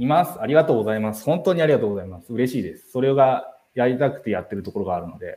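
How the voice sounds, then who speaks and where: Very fast and with hardly any pauses, a man at medium pitch speaks with lively intonation and big swings in loudness. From Tokyo. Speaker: live stream host, community organizer. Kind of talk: casual live stream talk. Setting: live stream.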